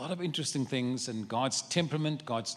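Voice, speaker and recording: A man with a South African accent, lively intonation and a moderate pace. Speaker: travelling preacher. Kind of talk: sermon. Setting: church service.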